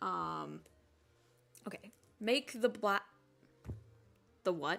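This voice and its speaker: A woman's voice with music in the background. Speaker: animator streaming their work. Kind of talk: casual live stream chat while working. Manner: halting, stumbles over words.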